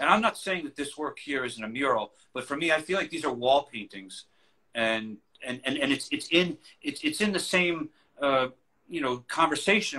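Over a quiet background, a man with a New York accent speaks at a moderate pace. His fairly high voice has a bright, sharp tone and lively intonation. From New York City, Queens. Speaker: collage artist. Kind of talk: casual interview. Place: home room. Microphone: video call.

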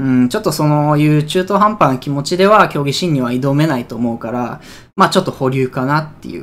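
A man talks in a normal speaking voice at a fairly high pitch with ordinary pitch variation. His pace is fairly quick and his loudness swings widely. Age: 20s. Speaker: esports player and streamer; streamer. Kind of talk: casual vlog announcement. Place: home room. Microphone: phone near.

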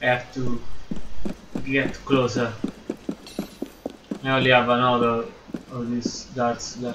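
Noticeable background noise fills the recording as a man of medium pitch talks. He keeps a monotone, flat intonation at a fairly slow pace with long, frequent pauses. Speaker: gaming YouTuber. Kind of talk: gameplay commentary. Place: home room.

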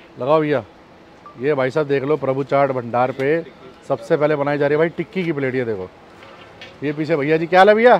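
Speech at a moderate pace with ordinary pitch variation comes through with long, frequent pauses, dry sound with no echo, and light background noise. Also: man. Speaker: food vlogger. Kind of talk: casual vlog chat. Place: street.

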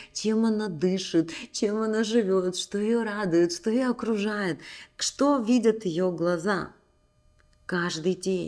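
A woman's very slow speech with lively intonation. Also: quiet background. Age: 40s. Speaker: women's coaching channel host. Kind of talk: motivational talk to camera. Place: home room. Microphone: studio mic.

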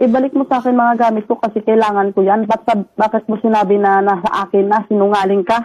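A dark, mellow tone at a very fast pace, flat and monotone in intonation, with very even loudness. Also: woman, fairly high pitch for a woman. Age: 20s. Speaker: factory worker. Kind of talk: mediation call. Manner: heated.

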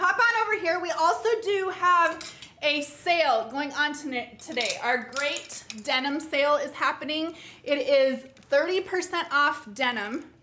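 A woman's raised, projected voice at a very slow pace, with lively intonation over light background noise. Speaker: boutique host. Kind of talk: live product presentation. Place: studio.

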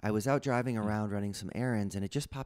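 Over a quiet background, a man talks in an unremarkable speaking voice, fairly low in pitch with ordinary pitch variation. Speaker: guest. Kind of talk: interview answer. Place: home room. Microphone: studio mic.

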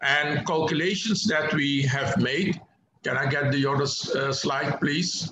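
A man with fairly even intonation and very even loudness, over noticeable background noise. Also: fairly slow pace. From Suriname. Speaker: economist; guest lecturer. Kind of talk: lecture. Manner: halting. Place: home room. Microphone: video call.

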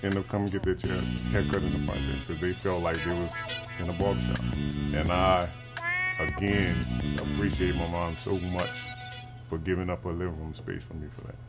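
A man talks fairly quickly. Music plays loudly behind him. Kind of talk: interview answer. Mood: reflective storytelling. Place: shop.

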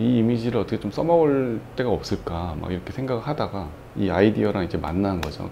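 An ordinary speaking voice from a man, fairly low and fairly quick, with lively intonation over light background noise. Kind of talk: interview answer. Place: home room. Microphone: lapel.

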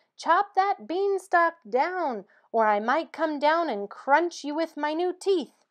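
Shouting in a put-on character voice at an extremely high pitch, a woman speaks fairly slowly against a quiet background. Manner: shouting, threatening.

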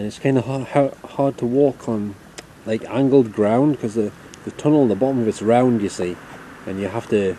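The sound is dry with no echo, with light background noise. A man talks at a moderate pace with fairly even intonation. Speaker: urban explorer vlogger. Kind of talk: casual vlog chat. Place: open country. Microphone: phone near.

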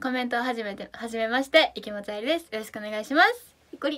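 Talking at a very fast pace with hardly any pauses, a woman uses a high pitch, an animated tone and a bright, sharp sound, with ordinary pitch variation and big swings in loudness against a quiet background. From Japan, Fukuoka; Japan. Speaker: idol live streamer. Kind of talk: live stream chat reading comments. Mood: cheerful, playful. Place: home room. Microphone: phone near.

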